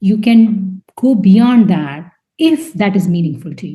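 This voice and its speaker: Somewhat breathy, the woman speaks with ordinary pitch variation. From India. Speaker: scientist and debut novelist. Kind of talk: interview. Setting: podcast interview. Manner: halting, many fillers and repeats.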